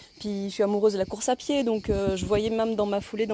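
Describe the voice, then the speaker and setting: Fairly high in pitch, a woman talks at a fairly quick pace in an unremarkable speaking voice. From Belgium (Brussels). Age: 40s. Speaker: nutrition coach and blogger. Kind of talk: testimony.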